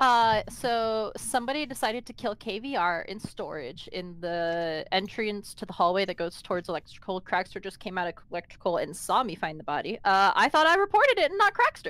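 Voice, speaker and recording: Lively intonation from a woman at a fairly quick pace, hardly any pauses, and a dry sound with no echo. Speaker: online game player; game streamer. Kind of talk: casual gaming chat. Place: home room.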